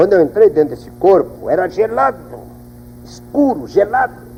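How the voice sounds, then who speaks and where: Moderate pace from a man amid noticeable background noise. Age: 60s. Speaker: pastor giving testimony. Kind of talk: testimony. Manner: animated.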